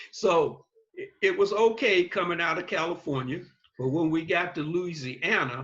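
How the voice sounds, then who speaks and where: A bright, sharp tone with an American accent. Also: man. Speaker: navy veteran. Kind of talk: interview answer.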